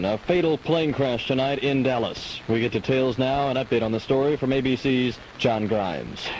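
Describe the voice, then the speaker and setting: Against noticeable background noise, a man at a medium pitch talks at a moderate pace with hardly any pauses and ordinary pitch variation. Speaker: radio news anchor. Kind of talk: local radio newscast reading. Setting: 1985 AM/FM radio broadcast, recorded from a cassette boombox.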